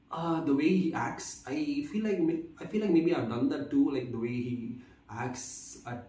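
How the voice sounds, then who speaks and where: A man's speech, with ordinary pitch movement and a moderate pace, is heard through audible room echo and noticeable background noise. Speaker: vlogger. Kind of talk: casual monologue. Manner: halting, many fillers and repeats; stutters at times.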